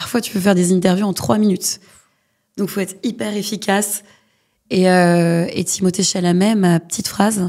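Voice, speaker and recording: Her voice is a dark, mellow one at medium pitch, with fairly even intonation. The woman keeps a moderate pace with long, frequent pauses. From Paris western suburbs (Hauts-de-Seine). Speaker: culture journalist. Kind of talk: podcast interview.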